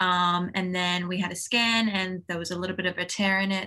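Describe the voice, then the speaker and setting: The voice has a bright, sharp tone and a fairly quick pace. It comes with an Australian accent. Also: woman. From Australia (Townsville, Queensland). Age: 20s. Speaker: professional tennis player. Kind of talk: interview.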